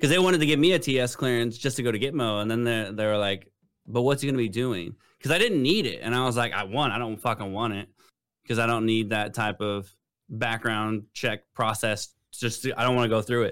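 A man with an ordinary speaking voice, medium pitch and ordinary pitch variation, at a fairly quick pace, on a very clean recording with a silent background. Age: 30s. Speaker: military veteran co-host. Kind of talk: casual chat.

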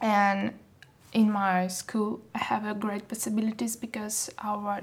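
A woman speaks in a Russian accent at a fairly slow pace. Her voice is fairly high and somewhat breathy. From Russia (Saint Petersburg), born in Moldova. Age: 20s. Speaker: fashion model. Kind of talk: casual interview.

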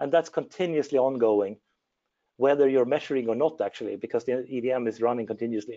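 In a Swedish accent, the speaker talks at a fairly quick pace with ordinary pitch variation. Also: man, medium pitch for a man. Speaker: engineer. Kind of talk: technical presentation.

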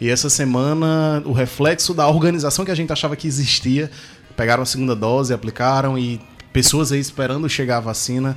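With music in the background, a man speaks at a fairly quick pace, his pitch medium and his intonation fairly even. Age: 30s. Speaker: radio co-host. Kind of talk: casual radio chat. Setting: radio studio.

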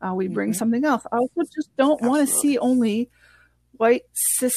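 A somewhat breathy, dark, mellow voice in a French Canadian accent, with ordinary pitch variation, a moderate pace and a dry, close sound with no echo. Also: woman. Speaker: scuba instructor. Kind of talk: casual interview chat.

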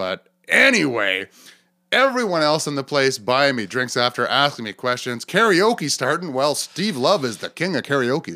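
With very wide pitch swings, a man talks at a moderate pace in a fairly high voice. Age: 40s. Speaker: comedian and podcast host. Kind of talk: casual chat.

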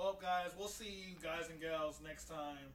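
A man with a high-pitched voice talks at a moderate pace with ordinary pitch variation, and room echo is audible. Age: 20s. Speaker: podcast co-host. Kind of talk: casual chat.

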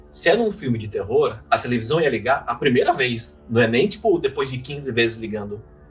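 A man talks at a fairly quick pace with hardly any pauses. Music plays in the background. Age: 30s. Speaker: podcast host. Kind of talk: casual chat.

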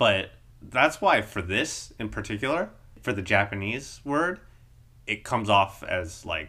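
Bright and sharp in tone, a man with an American accent speaks at a moderate pace with fairly low pitch. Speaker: podcast co-host. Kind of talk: casual chat.

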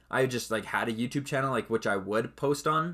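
This man speaks at a fairly quick pace in a normal speaking voice with a Canadian accent. His pitch varies in an ordinary way. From Canada. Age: 20s. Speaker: podcast host and esports co-founder. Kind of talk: solo casual podcast monologue. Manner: casual, rambling with fillers.

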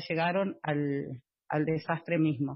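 At a very slow pace, a woman talks. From Buenos Aires, Argentina. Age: 40s. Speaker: housing cooperative resident and activist. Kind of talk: interview. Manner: halting, many fillers.

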